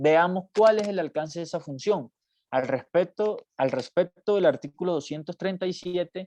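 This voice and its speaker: Heard in a dry, close sound with no echo, a man talks at a moderate pace in a fairly high pitch. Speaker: university law professor. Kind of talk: lecture. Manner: halting, many fillers.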